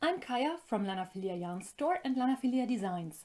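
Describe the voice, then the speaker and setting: Speaking in a German accent, a woman with a high pitch and a dark, mellow tone uses lively intonation at a moderate pace. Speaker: knitting designer and yarn shop owner. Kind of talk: tutorial.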